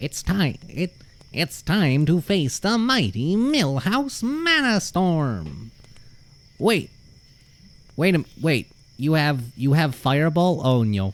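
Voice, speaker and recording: In a put-on character voice with a fairly high pitch, a man speaks at a very slow pace, leaving long, frequent pauses. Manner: boastful, excitable.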